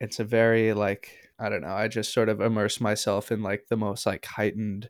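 A man with an American accent, fairly low pitch, monotone flat intonation and a moderate pace, on a very clean recording with a silent background. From Minneapolis, US Midwest. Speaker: musician and producer. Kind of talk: interview.

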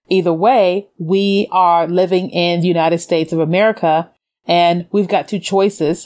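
In an ordinary speaking voice, a woman talks at a moderate pace and medium pitch with fairly even intonation, on a very clean recording with a silent background. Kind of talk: faith-based motivational talk.

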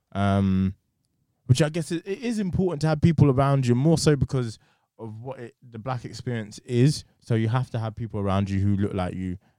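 The voice has a dark, mellow tone, moving at a fairly quick pace with lively intonation and big swings in loudness. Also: man, medium pitch for a man. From southeast England. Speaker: podcast co-host. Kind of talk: casual chat. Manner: animated.

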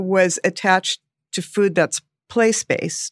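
A woman with a Californian accent and a medium pitch, on a very clean recording with a silent background and a dry, close sound with no echo. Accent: Californian American. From Los Angeles. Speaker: radio host and former chef. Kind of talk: casual chat.

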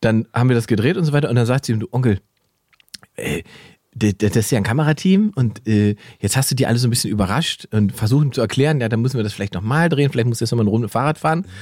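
Recorded in a dry, close sound with no echo, a man at a medium pitch speaks at a very fast pace with lively intonation. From eastern Germany, Salzwedel (Saxony-Anhalt). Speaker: comedian and podcast co-host. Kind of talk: casual chat. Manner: animated.

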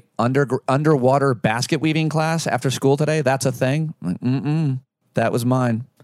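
A man with an American accent and an unremarkable speaking voice talks at a moderate pace and medium pitch, with fairly even intonation and very even loudness. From rural US, Syria, New York. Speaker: former personal trainer and podcaster. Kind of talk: casual chat. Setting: host's kitchen.

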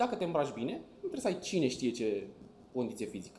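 This man has a fairly high pitch, a dark, mellow tone and vocal fry. He talks at a fairly quick pace. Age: 20s. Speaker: travel YouTuber. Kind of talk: casual interview chat.

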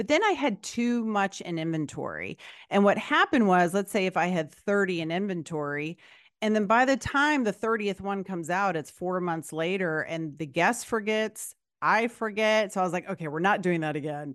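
A woman's unremarkable speaking voice at medium pitch, lively intonation over a quiet background. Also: moderate pace. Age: 50s. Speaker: podcast host and life coach. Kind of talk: casual interview.

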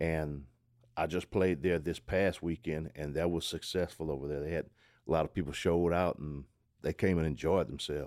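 A man with a Southwest Louisiana accent speaks in a very deep, low voice at a moderate pace. His intonation stays fairly even, and the recording is very clean with a silent background. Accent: Southwest Louisiana Creole English. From Southwest Louisiana, Calcasieu Parish. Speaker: zydeco musician. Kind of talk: casual interview.

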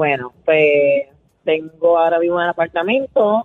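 Over music in the background, a woman with a Puerto Rican accent talks at a very slow pace, her fairly low pitch carried by lively intonation. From Puerto Rico, Canóvanas. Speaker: radio caller. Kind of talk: casual phone-in chat.

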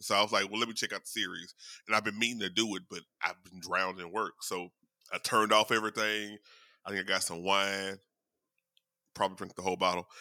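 A man with a fairly low pitch and a bright, sharp tone speaks in a monotone, flat intonation at a very fast pace, with long, frequent pauses. The sound is dry and close with no echo, on a very clean recording with a silent background. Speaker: podcast co-host. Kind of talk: casual chat. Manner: professional-sounding.

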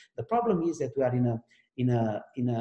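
A man with a Romanian accent talks in a dark, mellow tone. His voice is somewhat breathy. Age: 40s. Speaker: AI research executive. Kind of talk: interview. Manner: halting.

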